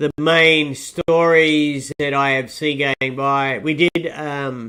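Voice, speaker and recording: In a dry, close recording with no echo, a man with an Australian accent speaks in a bright, sharp tone at a fairly high pitch. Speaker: market podcast host. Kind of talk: market commentary podcast. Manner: casual, hesitant with fillers. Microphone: distorted sound.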